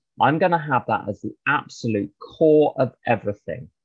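A man speaks in a plain, everyday voice, neither fast nor slow but at a moderate pace. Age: 50s. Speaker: recovering alcoholic speaker. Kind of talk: testimony. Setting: video call.

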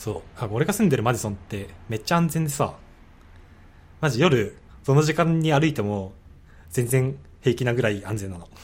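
A man speaks with lively intonation and a somewhat breathy voice. He leaves long, frequent pauses. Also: medium pitch for a man, moderate pace. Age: 20s. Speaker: graduate student. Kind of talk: casual chat.

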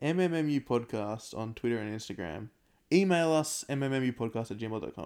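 In a very clean recording with a silent background, a man with an Australian accent speaks in a dark, mellow tone with lively intonation. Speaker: podcast co-host. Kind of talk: casual chat.

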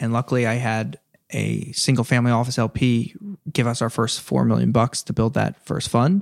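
A man with an American accent speaks fairly quickly in a normal speaking voice at medium pitch with fairly even intonation, the sound dry and close with no echo on a very clean recording with a silent background. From New Jersey, US. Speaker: venture capital investor. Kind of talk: casual interview. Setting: in person.

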